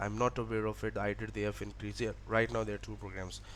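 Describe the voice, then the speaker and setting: A man speaks with a Pakistani accent. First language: Urdu. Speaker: education vlogger. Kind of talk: tutorial. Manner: halting.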